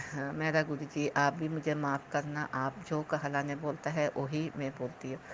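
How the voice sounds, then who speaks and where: The woman's very deep, low pitch stays monotone and flat, with hardly any pauses. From South India, Kerala. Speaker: devotee sharing testimony. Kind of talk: testimony. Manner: halting, many fillers.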